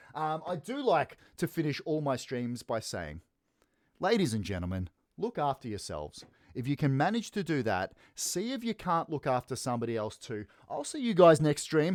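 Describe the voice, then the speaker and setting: With an Australian accent and an energetic tone, a man speaks at a moderate pace in a fairly high pitch with very wide pitch swings, the sound dry and close with no echo on a very clean recording with a silent background. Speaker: esports caster. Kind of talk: live commentary wrap-up. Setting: live stream. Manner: casual, energetic.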